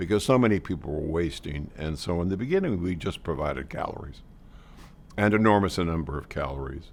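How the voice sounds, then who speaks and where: Vocal fry at a fairly quick pace with ordinary pitch variation. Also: man, very deep, low pitch for a man. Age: 80s+. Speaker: charity board chairman. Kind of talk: interview testimony.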